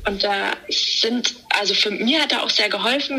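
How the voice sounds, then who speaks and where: With ordinary pitch variation and a fairly high pitch, a woman talks while noticeable background noise is heard. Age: 30s. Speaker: podcast guest, endometriosis patient. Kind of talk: casual interview. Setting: remote call from holiday.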